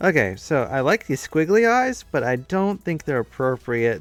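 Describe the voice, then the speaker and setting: Music plays in the background as a man mumbles. His intonation is lively. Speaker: streamer and digital artist. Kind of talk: casual live-stream chat while drawing. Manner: mumbling.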